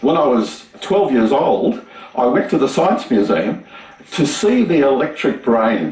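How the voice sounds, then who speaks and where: Very slow speech with very wide pitch swings in an Australian accent, plus audible room echo and noticeable background noise. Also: man. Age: 70s. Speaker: retired engineer and YouTube maker. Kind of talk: TV interview.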